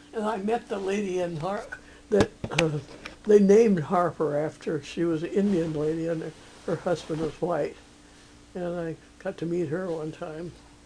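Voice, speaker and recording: Long, frequent pauses break up speech at a moderate pace, with ordinary pitch variation and noticeable background noise behind it. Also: woman, fairly low pitch for a woman. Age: 80s+. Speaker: former missionary. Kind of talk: interview answer.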